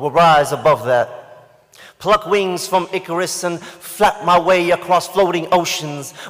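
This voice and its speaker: A man's raised, projected voice, high in pitch, at a very slow pace with ordinary pitch variation. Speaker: spoken word poet. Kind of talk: spoken word poetry performance. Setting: live event stage.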